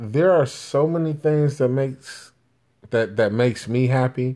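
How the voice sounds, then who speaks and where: A normal speaking voice with an American accent, ordinary pitch variation and a fairly slow pace, on a very clean recording with a silent background. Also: man. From Chicago, Jamaican family. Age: 30s. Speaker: podcast host. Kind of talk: casual monologue. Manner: conversational, filler-heavy.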